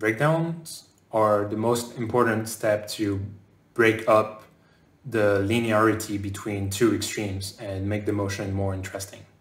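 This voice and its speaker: Audible room echo surrounds a man's fairly low, somewhat breathy voice. He speaks at a fairly slow pace with fairly even intonation. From France, raised partly in southern North America. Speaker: game animator. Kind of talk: conference talk. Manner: hesitant fillers. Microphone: webcam.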